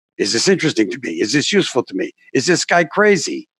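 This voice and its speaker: In a very clean recording with a silent background and a dry, close sound with no echo, a man with a New York accent talks at a moderate pace, using vocal fry and very wide pitch swings. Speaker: documentary filmmaker and communication coach. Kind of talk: interview.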